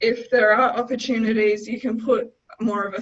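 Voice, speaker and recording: Speaking at a moderate pace, a woman with an Australian accent keeps a fairly even intonation. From Darwin, Northern Territory, Australia. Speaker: senior consultant, chartered accountant. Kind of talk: webinar presentation on business finance.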